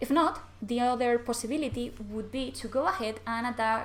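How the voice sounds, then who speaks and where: Someone speaks in a Spanish accent with ordinary pitch variation over noticeable background noise. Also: woman. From Spain. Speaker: card game content creator. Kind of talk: gameplay commentary.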